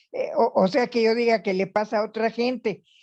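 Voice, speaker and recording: A woman speaks with fairly high pitch and fairly even intonation. Her tone is dark and mellow over a quiet background. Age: 80s+. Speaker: retiree, workshop participant. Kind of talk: group discussion.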